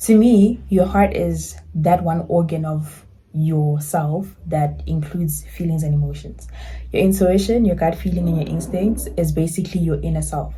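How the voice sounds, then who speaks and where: A woman talks at a moderate pace, and audible room echo can be heard around her. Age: 20s. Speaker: lifestyle YouTuber. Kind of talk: casual vlog talk to camera.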